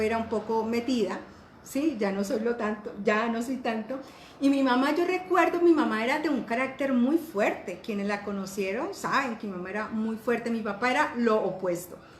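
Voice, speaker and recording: High-pitched female speech at a moderate pace with lively intonation, plus audible room echo and noticeable background noise. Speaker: life coach. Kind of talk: online class.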